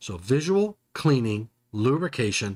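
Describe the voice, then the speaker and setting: The sound is dry and close, without echo. A man in an American accent speaks at a medium pitch with lively intonation. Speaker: electrical safety presenter. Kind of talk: live webinar tutorial. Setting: live stream. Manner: halting, repeats words.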